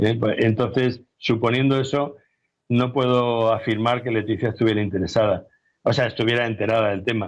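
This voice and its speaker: Over a quiet background, a man with a plain, everyday voice speaks at a medium pitch with fairly even intonation. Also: moderate pace. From Spain, Albacete. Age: 60s. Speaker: investigative journalist and author. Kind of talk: interview.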